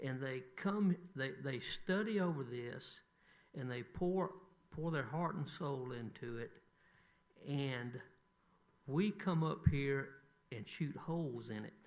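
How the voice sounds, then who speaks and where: In a Southern US accent, a man with a fairly high pitch and lively intonation talks at a very slow pace, with long, frequent pauses and audible room echo. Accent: Southern US (Georgia). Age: 60s. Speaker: city council member. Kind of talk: council meeting remarks.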